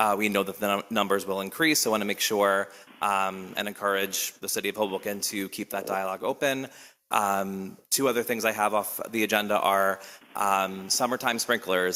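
Loud and fairly quick, a man speaks at a fairly low pitch with a bright, sharp tone in a very clean recording with a silent background. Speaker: teacher speaking as public commenter. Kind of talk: public comment at council meeting. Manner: hesitant, many fillers.

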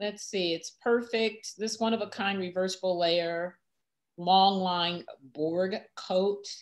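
With a quiet background, a woman at medium pitch talks at a very slow pace. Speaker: fashion channel host. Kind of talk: casual chat about fashion. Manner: animated. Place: home room. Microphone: video call.

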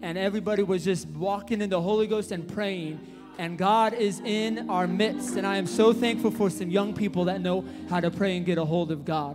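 A man talks at a fairly quick pace in a high voice with ordinary pitch variation. His tone is upbeat, and clear music plays in the background. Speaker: church worship leader. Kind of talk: church announcements. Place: church. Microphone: handheld.

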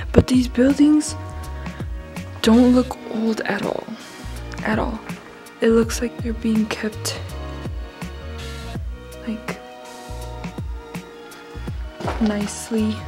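A woman speaks at a very slow pace with long, frequent pauses, while clear music plays in the background. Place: open country. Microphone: phone near.

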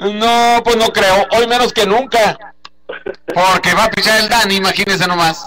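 A man speaks in a raised, projected voice over light background noise. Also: fairly slow pace. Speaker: radio host. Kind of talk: live radio call-in banter about baseball. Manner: animated, joking. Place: studio.

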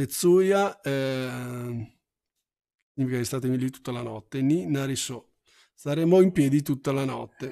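A man with a dark, mellow tone speaks at a very slow pace with lively intonation, on a very clean recording with a silent background. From Milan, Italy. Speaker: Japanese language teacher. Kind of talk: live-streamed language lesson.

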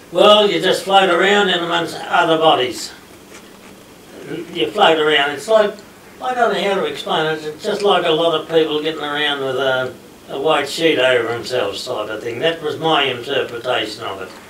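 The speaker has an Australian accent, lively intonation and a moderate pace. Room echo is audible, with light noise in the background. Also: man, fairly high pitch for a man. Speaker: war veteran. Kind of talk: interview answer. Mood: relaxed reminiscing storytelling. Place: meeting room. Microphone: camera far.

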